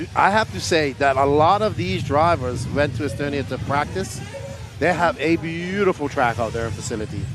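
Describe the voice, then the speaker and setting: A man's fairly high voice with very wide pitch swings, at a moderate pace, over noticeable background noise. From Bermuda. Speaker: race commentator. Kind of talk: live commentary.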